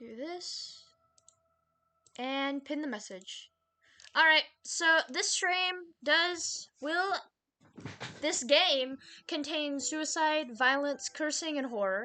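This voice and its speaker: A woman with a high, bright, sharp voice projects it loudly, with lively intonation and big swings in loudness. She speaks at a very slow pace with long, frequent pauses against a quiet background. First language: not English. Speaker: vtuber streamer. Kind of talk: live game stream chat.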